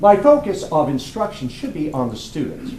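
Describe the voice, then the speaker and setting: A man with an American accent speaks with very wide pitch swings, with audible room echo and noticeable background noise. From US South, North Carolina (Cumberland County). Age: old. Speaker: firearms instructor. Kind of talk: business pitch presentation.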